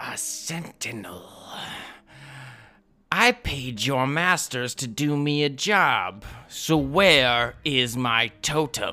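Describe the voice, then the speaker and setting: A put-on character voice at a low-to-middle pitch, very slow, with long, frequent pauses. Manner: demanding, accusatory.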